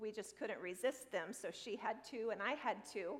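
A woman's plain, everyday voice, fairly high in pitch, with ordinary pitch variation. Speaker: pastor. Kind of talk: sermon.

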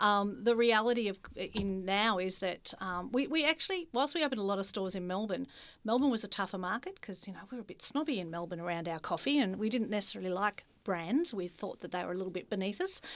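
A woman talks very fast, with hardly any pauses and lively intonation at a medium pitch. The recording is very clean, with a silent background. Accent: Australian. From Australia, Ballarat (regional Victoria). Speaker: franchise executive. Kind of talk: interview conversation.

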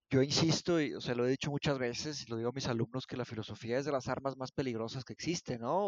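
This man's voice sits at medium pitch with fairly even intonation. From northern Mexico, Monterrey. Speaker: philosophy teacher. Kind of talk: casual discussion. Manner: halting, many repetitions.

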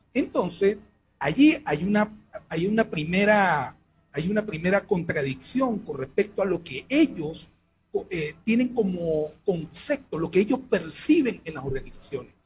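A man's high voice, fairly slow, with very wide pitch swings and big swings in loudness, over music in the background. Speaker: sports management researcher. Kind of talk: interview. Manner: halting. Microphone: headphone plug problem, sound echo.

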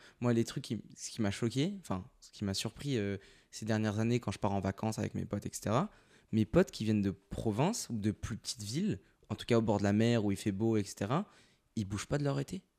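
This man's voice sits fairly low, with a dark, mellow tone and ordinary pitch variation, moving at a fairly quick pace. The recording is very clean with a silent background. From Paris suburbs. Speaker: podcast host. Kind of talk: casual chat, interview.

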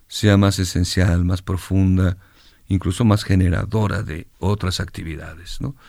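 In a very clean recording with a silent background, a man talks fairly slowly with fairly even intonation and fairly low pitch, in an ordinary speaking voice. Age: 60s. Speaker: singer-songwriter. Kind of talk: interview.

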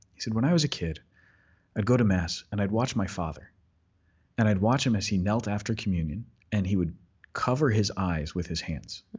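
This man speaks at a fairly quick pace with lively intonation and a playful tone. His voice is somewhat breathy, broken by long, frequent pauses. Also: fairly low pitch for a man. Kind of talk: casual chat. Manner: joking, playful.

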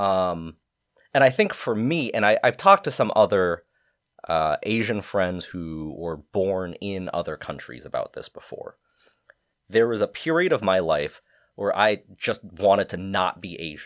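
A man with an American accent speaks at a fairly slow pace, his loudness swinging widely, in a dry, close sound with no echo. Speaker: photographer. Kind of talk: casual chat.

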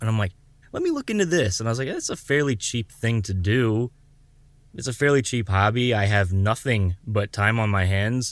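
A man at a moderate pace has a plain, everyday voice with ordinary pitch variation. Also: medium pitch for a man. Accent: American. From Southwest Florida. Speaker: podcast host. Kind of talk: casual chat.

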